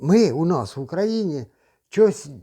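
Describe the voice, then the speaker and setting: A man with a dark, mellow tone swings very widely in pitch against a quiet background. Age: 60s. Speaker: retiree video blogger. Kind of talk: casual monologue.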